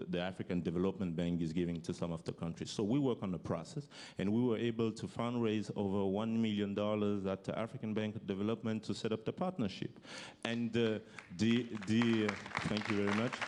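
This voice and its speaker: A man talks at a fairly quick pace, his fairly low pitch showing ordinary variation. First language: French. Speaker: youth entrepreneur, former basketball player. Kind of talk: panel talk. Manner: halting.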